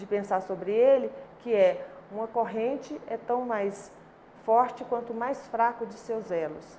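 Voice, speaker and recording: Her fairly high-pitched voice moves with fairly even intonation as this woman talks. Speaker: labour court judge. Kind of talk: interview answer.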